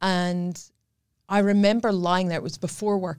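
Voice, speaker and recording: A woman speaks with a Scottish accent. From Scotland. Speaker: domestic violence survivor and charity ambassador. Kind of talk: interview testimony.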